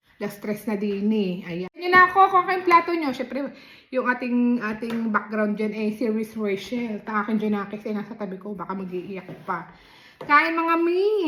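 A woman's fairly high voice with very wide pitch swings, at a moderate pace, over noticeable background noise. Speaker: mukbang vlogger. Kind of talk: eating vlog chat. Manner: casual, chatty.

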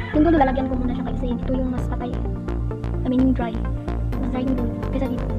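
Loud music plays in the background as a woman talks at a very fast pace, broken by long, frequent pauses. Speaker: beauty vlogger. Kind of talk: casual hair product review to camera. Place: home room. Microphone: phone near.

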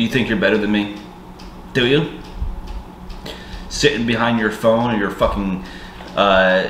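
The speech moves at a fairly slow pace with ordinary pitch variation. Audible room echo and light background noise are present. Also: man. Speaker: vlogger. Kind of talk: emotional casual vlog rant. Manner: hungover, bitter, slurred resentful rant. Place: home room. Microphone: camera far.

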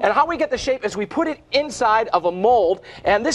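Upbeat and enthusiastic, a man talks at a fairly quick pace. His intonation is lively. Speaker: infomercial host. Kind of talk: infomercial demonstration. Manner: upbeat, enthusiastic. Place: studio. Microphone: lapel.

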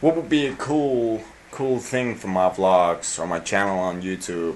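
Here a man talks at a moderate pace with lively intonation. Light background noise is present. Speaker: vlogger. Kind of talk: casual vlog chat. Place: home room. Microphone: phone near.

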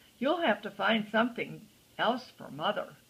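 The woman's speech moves at a medium speed. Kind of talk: storybook reading aloud to a child. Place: home room. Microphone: phone near.

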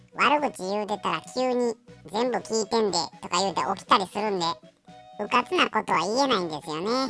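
A put-on character voice, female-sounding and at a medium pitch, moves at a moderate pace over faint music in the background. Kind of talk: pet voice-over comedy. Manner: casual, chatty.

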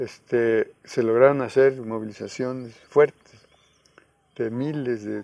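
Dry sound with no echo, a man's dark, mellow tone, and monotone, flat intonation. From Guerrero, Mexico (Coyuca de Benítez); Guerrero, Mexico. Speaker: peasant organizer and rural university founder; interviewee. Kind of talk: interview; interview answer. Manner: halting. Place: garden. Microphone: lapel.

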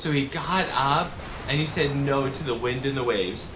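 A man at a very slow pace over noticeable background noise. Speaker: children's Bible storyteller. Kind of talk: children's story narration. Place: studio.

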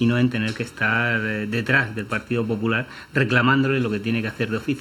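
A man talks fast at a medium pitch, with little pitch movement. His tone is bright and sharp, with faint background noise.

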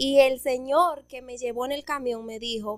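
The background stays quiet. The woman's voice is high-pitched. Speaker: podcast guest. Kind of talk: interview answer, storytelling. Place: studio. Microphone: studio mic.

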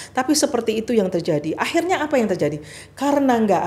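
Very fast and with very wide pitch swings, a woman's voice rushes along. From Indonesia. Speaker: former ambassador and religious organization leader; podcast guest. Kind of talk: interview. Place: studio. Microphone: studio mic.

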